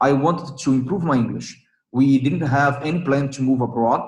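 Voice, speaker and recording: A man's somewhat breathy voice sits at a fairly high pitch, with audible room echo. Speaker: English learner sharing experience. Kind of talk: casual chat. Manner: halting, many fillers and repetitions.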